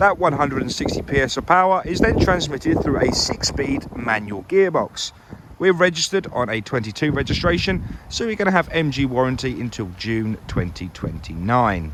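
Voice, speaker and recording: With noticeable background noise behind him, a man talks at a moderate pace in a fairly high pitch, with very wide pitch swings. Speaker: car salesman. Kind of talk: vehicle walkaround presentation. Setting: outdoors. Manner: loud; animated.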